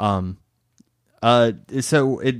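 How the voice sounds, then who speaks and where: Heard in a very clean recording with a silent background, a man uses ordinary pitch variation in a dry, close sound with no echo. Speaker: podcast co-host. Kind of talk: casual chat. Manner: halting, stuttering.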